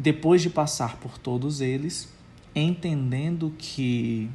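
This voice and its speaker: A man with a fairly high, somewhat breathy voice and a dark, mellow tone speaks at a very slow pace with ordinary pitch variation. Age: 30s. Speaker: pastor. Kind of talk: recorded testimony.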